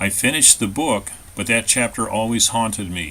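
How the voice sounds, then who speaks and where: A man with an American accent speaks at a medium pitch. Background noise is noticeable. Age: 60s. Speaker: author. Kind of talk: scripted narration.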